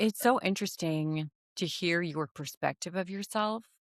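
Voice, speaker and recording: In a dry, close sound with no echo and a silent background on a very clean recording, a woman with an American accent uses an ordinary speaking voice at a fairly slow pace with ordinary pitch variation. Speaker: podcast host. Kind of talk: casual podcast interview. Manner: warm, lively, chatty.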